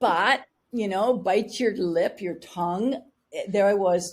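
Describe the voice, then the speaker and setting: Lively intonation marks this woman's medium-pitched delivery. She has an ordinary speaking voice. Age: 60s. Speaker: spiritual wealth coach. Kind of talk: interview.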